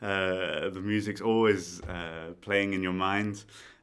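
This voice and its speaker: With a British accent, a man speaks at a fairly slow pace in a very deep, low pitch and a monotone, flat intonation. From Britain. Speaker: conductor. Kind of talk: podcast interview. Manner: hesitant, many fillers.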